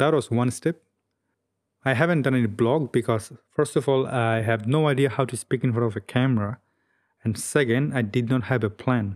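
A man speaks with a non-native accent and ordinary pitch variation. The recording is very clean, with a silent background. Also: medium pitch for a man, moderate pace. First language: not English. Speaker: YouTuber, travel and photo video creator. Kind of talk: solo vlog monologue. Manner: reserved expression despite inner excitement; frequent fillers (um, uh, well, like).

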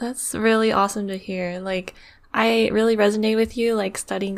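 In a very clean recording with a silent background, a woman with a medium pitch talks at a fairly quick pace in a monotone, flat intonation. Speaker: podcast co-host. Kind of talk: casual interview.

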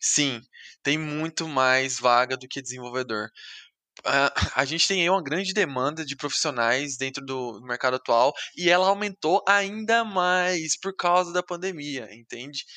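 A man's fairly high, bright and sharp voice at a fairly slow pace with lively intonation, dry and close with no echo, in a very clean recording with a silent background. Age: 20s. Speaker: software developer. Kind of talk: casual chat.

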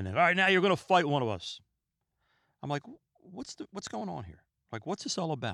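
A man with a fairly high, bright, sharp voice and vocal fry talks at a fairly quick pace. His pitch swings very widely, and he leaves long, frequent pauses. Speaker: podcast host. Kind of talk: solo podcast monologue. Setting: home recording room. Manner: calm, relaxed; fast-paced at times.

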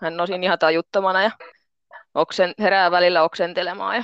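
A woman with an unremarkable speaking voice talks at a moderate pace, her pitch fairly low, in a dry, close sound with no echo and a quiet background. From Finland, Pori. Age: 30s. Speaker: pole dance instructor and construction painter. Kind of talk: interview.

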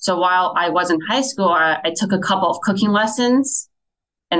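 A woman speaks with an American accent in a bright, sharp tone. Her pace is moderate. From US Midwest, Fort Wayne, Indiana. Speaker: restaurant chef. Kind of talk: interview.

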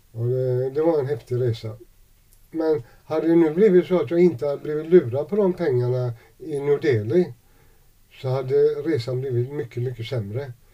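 A man's voice sits at a fairly high pitch with a dark, mellow tone. His pace is moderate and his pitch variation ordinary. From Sweden, Gothenburg (Gamlestaden). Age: 60s. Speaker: homeless man. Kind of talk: interview testimony. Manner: halting.

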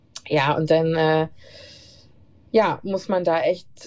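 The woman's voice has a dark, mellow tone. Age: 30s. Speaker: nurse. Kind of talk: casual interview. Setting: remote call.

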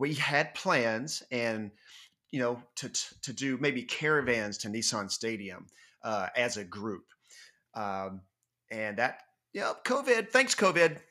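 Lively intonation and a bright, sharp tone mark this man's medium-pitched voice. He talks very slowly with long, frequent pauses, on a very clean recording with a silent background. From North Georgia. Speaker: fan podcast host. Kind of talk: casual chat.

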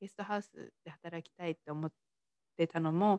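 An ordinary speaking voice from a woman, fairly low in pitch, fairly quick, with fairly even intonation and a dry, close sound free of echo. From Tochigi, Japan. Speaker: mindset coach and podcaster. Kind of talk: solo podcast monologue. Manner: casual, many fillers. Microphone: work laptop, may be hard to hear.

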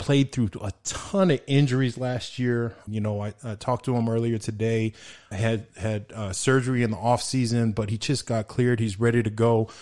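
A man with a normal speaking voice and an American accent talks at a moderate pace with medium pitch, fairly even intonation and hardly any pauses. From El Paso, Texas. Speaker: sports podcast host, former college football player. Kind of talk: casual chat.

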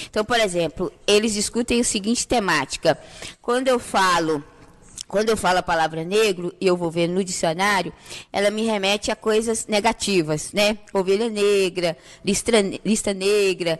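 This woman has a plain, everyday voice at a medium pitch. She speaks at a moderate pace with ordinary pitch variation and very even loudness. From Brazil, Santa Cruz favela. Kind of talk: podcast interview.

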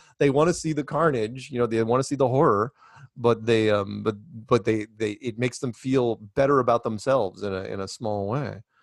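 A man with a plain, everyday voice talks at a fairly quick pace, medium pitch and ordinary pitch variation. The sound is dry and close, with no echo. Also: quiet background. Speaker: flat earth proponent. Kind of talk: casual interview.

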